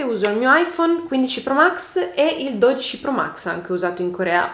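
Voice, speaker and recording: A woman's voice with very wide pitch swings at a moderate pace, over noticeable background noise. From Turin, northern Italy. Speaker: beauty YouTuber. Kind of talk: casual chat, Q&A while doing makeup. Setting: home, on sofa. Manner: animated.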